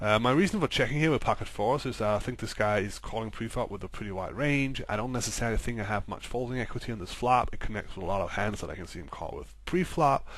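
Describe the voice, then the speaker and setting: A man's very fast speech at medium pitch with a non-native accent, vocal fry, ordinary pitch variation, big swings in loudness and hardly any pauses. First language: not English. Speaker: poker coach. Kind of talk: live commentary over gameplay. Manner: hesitant, many fillers.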